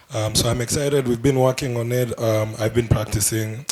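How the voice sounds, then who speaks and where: A man speaks at a fairly quick pace and medium pitch. His intonation is monotone and flat, with noticeable background noise behind him. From Kenya. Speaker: musician. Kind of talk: press conference answers. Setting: stage at press briefing.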